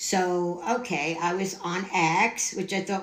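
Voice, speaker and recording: A woman with a fairly low pitch, audible room echo and noticeable background noise. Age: 70s. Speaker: scam victim. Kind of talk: testimony. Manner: animated.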